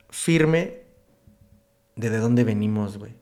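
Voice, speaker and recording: A man with a Mexican accent talks at a very slow pace with lively intonation. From Michoacán, Mexico (Uruapan). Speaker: tattoo artist. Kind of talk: casual chat.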